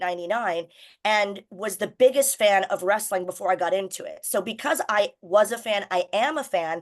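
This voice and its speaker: A woman with an American accent speaks in an ordinary speaking voice at a fairly high pitch. Her intonation is lively, and the background is quiet. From United States. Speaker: wrestling announcer and broadcaster. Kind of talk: radio interview.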